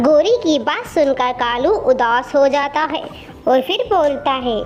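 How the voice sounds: Faint music plays in the background. Over it, a woman speaks at a high pitch with lively intonation. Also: fairly slow pace.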